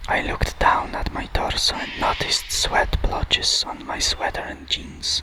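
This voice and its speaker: Someone whispers at a fairly slow pace with a Polish accent over noticeable background noise. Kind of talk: ASMR book reading. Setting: outdoors. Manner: whispered.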